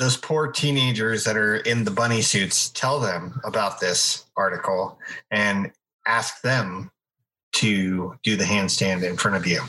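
At a fairly slow pace, a man with a fairly low voice and a bright, sharp tone keeps his loudness very even, with ordinary pitch variation. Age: 40s. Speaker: podcast co-host. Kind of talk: casual chat.

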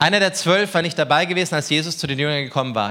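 His tone animated, warm, bright and sharp, a man speaks at a fairly high pitch and a fairly quick pace. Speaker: preacher. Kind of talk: sermon. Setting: church with congregation. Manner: animated, warm and conversational, cracking jokes, earnest at key points; informal, direct address.

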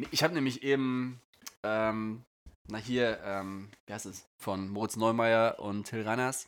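The speech moves at a very slow pace, its intonation fairly even and its loudness swinging widely. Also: man, medium pitch for a man. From northern Germany. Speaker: podcast co-host, airline pilot. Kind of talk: casual chat.

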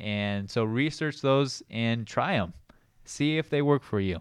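Against a quiet background, a man speaks in an unremarkable speaking voice with ordinary pitch variation. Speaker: chiropractic doctor, co-host. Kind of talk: casual educational discussion.

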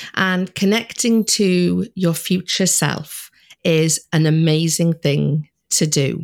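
A Welsh-accented woman with a fairly low pitch, very even loudness, a very slow pace and ordinary pitch variation. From Wales. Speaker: money mindset coach. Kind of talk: interview.

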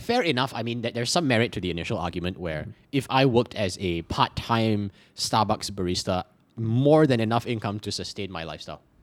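In a very clean recording with a silent background, a man speaks at a fairly quick pace and fairly low pitch. He has a normal speaking voice with lively intonation. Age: 20s. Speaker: podcast co-host appearing as guest. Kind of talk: casual chat.

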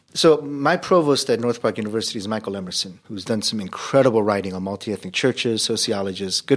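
The pitch moves in an ordinary way. The pace is very fast. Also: man. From US, Korean immigrant family. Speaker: seminary professor and pastor. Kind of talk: podcast interview. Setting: hotel conference room.

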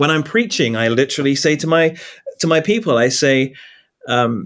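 A man with an English accent, medium pitch and a moderate pace. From England. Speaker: pastor. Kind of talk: interview conversation. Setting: call. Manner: conversational.

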